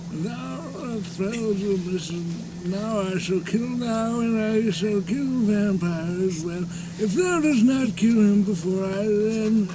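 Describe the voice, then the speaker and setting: A raspy, put-on character voice at a middle pitch talks at a fairly slow pace with hardly any pauses over loud background noise. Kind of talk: archaic, formal. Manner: evil, menacing.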